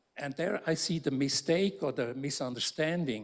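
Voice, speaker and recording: A man with a normal speaking voice talks at a fairly slow pace, his fairly high pitch showing ordinary pitch variation, in a very clean recording with a silent background. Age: 60s. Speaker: architecture professor. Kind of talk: panel discussion. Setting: lecture theatre with audience.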